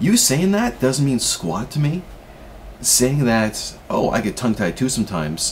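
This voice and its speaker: A man speaks at a moderate pace and a medium pitch, with very wide pitch swings. He leaves long, frequent pauses over noticeable background noise. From Canada. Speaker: vlogger with a stutter. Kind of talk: personal vlog. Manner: halting, repeats sounds.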